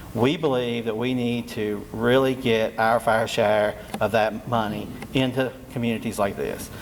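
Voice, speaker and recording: A man speaks with a Southwest Virginia accent and fairly even intonation. Noticeable background noise runs behind him. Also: medium pitch for a man, fairly slow pace. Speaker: state energy official. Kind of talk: public meeting presentation. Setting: community meeting room with audience. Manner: halting.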